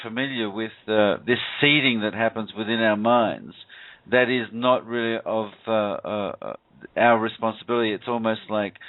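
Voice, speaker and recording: This man talks at a medium pitch with an Australian accent. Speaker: radio show host. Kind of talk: call-in radio talk. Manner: halting, many fillers and repeats.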